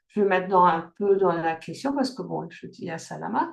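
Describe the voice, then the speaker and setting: A woman at a moderate pace. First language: German (speaking French). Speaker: life coach. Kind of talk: online workshop talk. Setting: video call. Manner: halting, many fillers and restarts.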